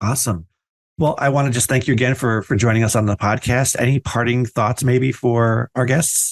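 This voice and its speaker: Against a quiet background, a man with an American accent speaks at a moderate pace in a medium-pitched voice, his intonation fairly even and his loudness very even, in a dry, close sound with no echo. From New Jersey. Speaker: podcast host. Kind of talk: casual interview.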